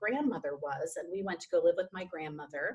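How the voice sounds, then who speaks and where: Here a woman speaks with a Minnesota accent. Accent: Minnesota accent, returned. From Minnesota, US Upper Midwest. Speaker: stage actor and director. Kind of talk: casual chat.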